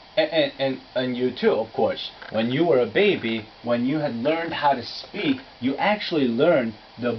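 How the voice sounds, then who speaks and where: A man of medium pitch with a Korean accent, lively intonation and a moderate pace, over noticeable background noise. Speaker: English pronunciation teacher. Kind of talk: lecture.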